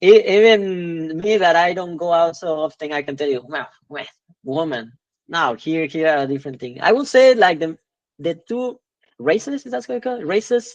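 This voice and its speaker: In a Spanish accent, a man with a high voice speaks at a moderate pace, his pitch swinging very widely and his loudness shifting in big swings. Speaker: podcast guest. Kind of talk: casual interview chat. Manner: halting, many fillers and repeats.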